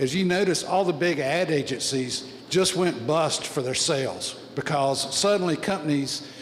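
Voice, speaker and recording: Noticeable background noise and audible room echo surround a man whose fairly high voice shows ordinary pitch variation. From US South. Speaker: audience member asking a question. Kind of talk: audience question at a panel forum. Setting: public forum with audience.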